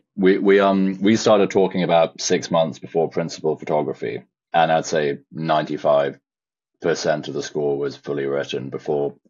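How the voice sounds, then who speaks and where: A moderate pace with ordinary pitch variation. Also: man. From England, Shropshire. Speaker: film composer. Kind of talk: interview. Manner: hesitant, many fillers.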